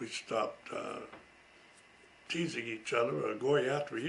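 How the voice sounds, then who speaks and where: Noticeable background noise runs behind a man talking with an American accent. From Massachusetts. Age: 80s+. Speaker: World War Two veteran. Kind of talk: oral history recollection. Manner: slow, hesitant.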